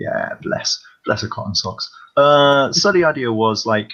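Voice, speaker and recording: A man speaks with a British accent and ordinary pitch variation. His tone is bright and sharp. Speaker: comics fan panelist. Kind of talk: casual chat. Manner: quiet, keeping voice down.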